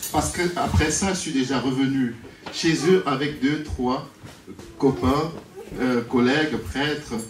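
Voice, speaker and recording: In a strong Cameroonian accent, a man speaks very slowly at a fairly high pitch with lively intonation, against audible room echo and noticeable background noise. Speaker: priest. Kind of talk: wedding speech.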